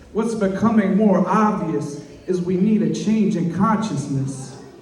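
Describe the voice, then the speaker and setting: Someone speaks at a fairly slow pace amid noticeable background noise. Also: man. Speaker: poet. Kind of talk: slam poetry performance. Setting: live event, birthday party venue.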